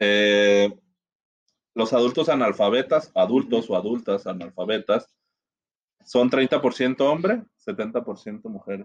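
A man with a medium pitch and ordinary pitch variation speaks at a very slow pace, leaving long, frequent pauses. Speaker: podcast guest. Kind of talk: casual discussion.

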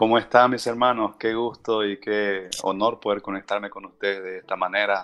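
A man's fairly low voice, monotone and flat, with hardly any pauses. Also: moderate pace, big swings in loudness. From southern Bolivia, Argentine border. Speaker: missions base director. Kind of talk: interview. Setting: remote call.

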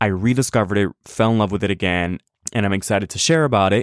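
In a very clean recording with a silent background, a man's dry, close voice with no echo shows ordinary pitch variation. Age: 20s. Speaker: podcast host. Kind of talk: casual solo commentary. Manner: halting, frequent repetitions and fillers.

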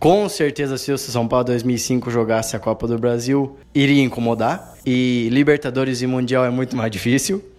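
Music plays in the background while the speech runs on with hardly any pauses. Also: man, medium pitch for a man, ordinary pitch variation, moderate pace. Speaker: football fan panelist. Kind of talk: casual debate chat.

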